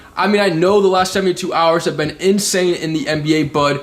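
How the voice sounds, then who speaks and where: Noticeable background noise sits behind a man with a high pitch who speaks in an animated tone at a fairly quick pace. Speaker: sports video creator. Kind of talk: casual commentary. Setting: face cam recording. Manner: fast.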